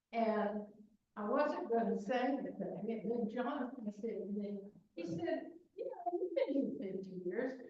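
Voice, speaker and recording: There is audible room echo as a woman speaks with lively intonation at a fairly high pitch. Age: 70s. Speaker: longtime resident. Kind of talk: brief thank-you remarks.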